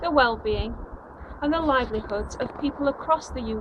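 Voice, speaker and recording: A woman with a South Yorkshire accent, high-pitched and with lively intonation, at a moderate pace over noticeable background noise. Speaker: anti-austerity campaigner. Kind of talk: campaign video address. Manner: formal.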